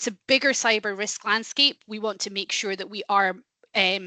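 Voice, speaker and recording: The voice moves at a moderate pace with ordinary pitch variation. The background is quiet, and the sound is dry and close with no echo. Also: woman. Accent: Scottish. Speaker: company head of industry sector, webinar presenter. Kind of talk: business webinar presentation.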